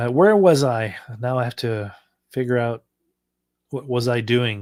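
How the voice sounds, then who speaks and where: A man with a French Canadian accent speaks at a fairly slow pace. The recording is very clean, with a silent background. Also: medium pitch for a man, ordinary pitch variation. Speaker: electronics hobbyist YouTuber. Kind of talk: casual live stream chat while coding. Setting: live stream. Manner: halting, many fillers.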